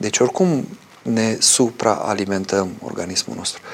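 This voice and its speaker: A man speaks at a fairly slow pace in a medium pitch, his intonation lively over noticeable background noise. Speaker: Orthodox priest answering viewer questions. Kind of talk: live call-in religious talk show.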